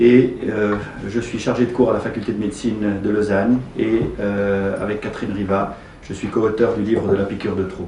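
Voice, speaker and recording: Over noticeable background noise and audible room echo, a man with a slight Swiss French accent talks at a moderate pace in a fairly low pitch with monotone, flat intonation. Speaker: gynecologist and lecturer. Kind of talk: presentation. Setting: meeting room at the parliament.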